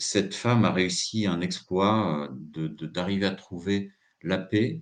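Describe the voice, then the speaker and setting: This man's voice is pitched very deep and low. The pitch moves in an ordinary way. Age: 60s. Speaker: psychotherapist giving a talk. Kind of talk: live talk. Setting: live stream. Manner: hesitant, many filler sounds.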